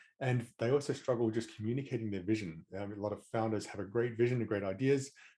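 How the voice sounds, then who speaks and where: A man's very fast speech in an Australian accent, at medium pitch with a dark, mellow tone and fairly even intonation. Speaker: management coach, former tech manager. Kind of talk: interview.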